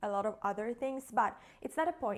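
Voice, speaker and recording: A woman with a non-native accent speaks at a moderate pace with ordinary pitch variation. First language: not English. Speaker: content creator and podcaster. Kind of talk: casual vlog monologue. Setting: home kitchen. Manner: casual, hesitant.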